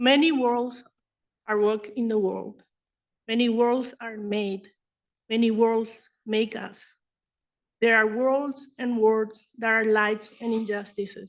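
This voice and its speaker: A woman speaks at a very slow pace with long, frequent pauses, her fairly high voice held in a monotone, flat intonation. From Paraguay (Asunción). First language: Spanish and Guarani. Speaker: artist and conference presenter. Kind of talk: conference presentation. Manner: formal.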